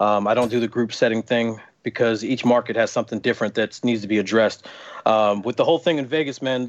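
A man's medium-pitched, unremarkable speaking voice at a fairly quick pace, with fairly even intonation. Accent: American. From US East Coast. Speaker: football referee. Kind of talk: casual chat. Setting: video call.

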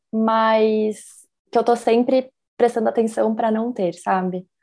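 Music plays in the background. A woman with a fairly high pitch speaks at a moderate pace with ordinary pitch variation. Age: 30s. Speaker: visual artist. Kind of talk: casual chat.

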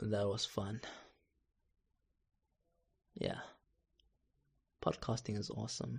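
A man's hoarse, put-on character voice, fairly low in pitch and lively in intonation, at a fairly slow pace with long, frequent pauses.

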